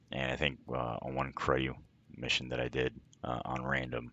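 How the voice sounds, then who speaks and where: At a fairly slow pace, a man with a very deep, low pitch speaks with vocal fry. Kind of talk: gameplay commentary voice-over. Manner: monotone.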